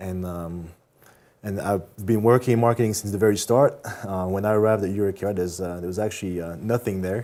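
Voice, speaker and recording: In a French accent, the voice moves at a fairly quick pace with fairly even intonation and a dark, mellow tone. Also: man, fairly low pitch for a man. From France. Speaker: marketing manager. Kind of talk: interview. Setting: studio. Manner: hesitant, many fillers.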